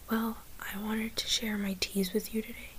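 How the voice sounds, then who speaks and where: The speaker talks at a fairly slow pace. Noticeable background noise runs under the voice. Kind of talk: ASMR tea tasting talk to camera. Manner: whispered.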